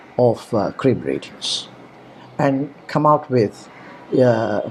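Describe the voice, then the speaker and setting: A man speaks with an Indian accent. His medium-pitched voice has ordinary pitch variation. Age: 70s. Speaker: online course instructor. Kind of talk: course introduction talk. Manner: halting, many fillers.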